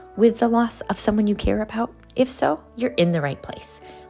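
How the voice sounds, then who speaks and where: Music plays in the background beneath speech with lively intonation. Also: woman. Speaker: podcast host. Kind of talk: podcast intro.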